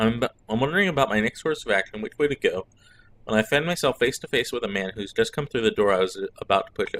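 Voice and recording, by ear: The text is read out loud. The voice sounds natural the whole way through.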